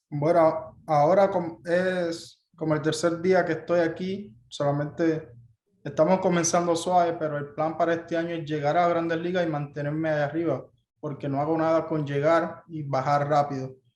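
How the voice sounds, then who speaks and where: The delivery comes in a Cuban accent at a fairly quick pace. Its intonation is monotone and flat. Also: man, fairly high pitch for a man. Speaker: baseball player. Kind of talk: press conference interview.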